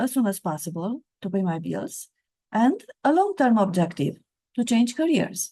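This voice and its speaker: Very wide pitch swings and a dark, mellow tone, with a Romanian accent. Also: woman. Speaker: author and career coach. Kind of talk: reading aloud from own book.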